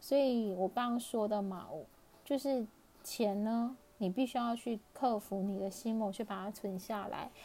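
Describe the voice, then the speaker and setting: A woman talks at a fairly slow pace in a fairly high pitch. Her tone is dark and mellow, with fairly even intonation. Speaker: personal finance podcaster. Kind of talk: casual solo podcast talk. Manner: laughs often. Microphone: crackly, hissy recording.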